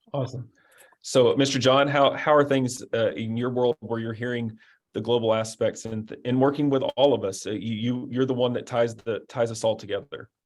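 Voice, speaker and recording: At a moderate pace, a man with a medium pitch talks in fairly even intonation. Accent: Arkansas. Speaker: webinar moderator. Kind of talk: webinar panel discussion.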